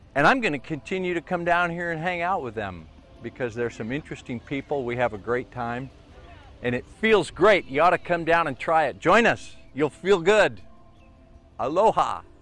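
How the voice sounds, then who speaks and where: With music in the background, a man with a fairly high pitch talks at a moderate pace using lively intonation. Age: 60s. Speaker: TV journalist and video producer. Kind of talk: documentary narration.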